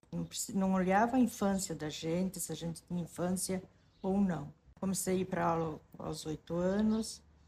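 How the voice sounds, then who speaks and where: Her tone is dark and mellow, somewhat breathy, at a medium pitch for a woman. She keeps a moderate pace and fairly even intonation. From southern Brazil, rural western Santa Catarina. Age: 60s. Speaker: interviewee telling life story. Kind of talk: personal testimony. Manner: halting, with self-corrections.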